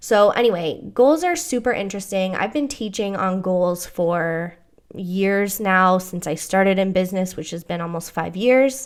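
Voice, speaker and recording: In a very clean recording with a silent background, a woman with a medium-pitched voice and an American accent speaks in an animated tone at a moderate pace. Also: ordinary pitch variation. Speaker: business coach and podcast host. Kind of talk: podcast monologue with promotional pitch. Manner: casual, animated.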